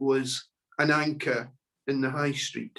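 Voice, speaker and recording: This man speaks with a Scottish accent. His pitch is fairly high. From Scotland. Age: 60s. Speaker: local charity speaker. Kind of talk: online talk presentation.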